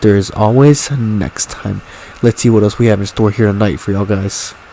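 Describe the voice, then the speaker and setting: A man speaks at a moderate pace with a fairly low pitch and fairly even intonation. Noticeable background noise runs underneath. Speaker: gaming commentator. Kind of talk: live commentary. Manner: stuttering at times; casual, hesitant with fillers.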